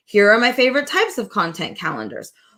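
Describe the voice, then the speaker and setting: Talking at a fairly quick pace, a woman uses a high pitch and an animated, bright, sharp tone. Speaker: social media marketing coach. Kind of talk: live-streamed workshop session.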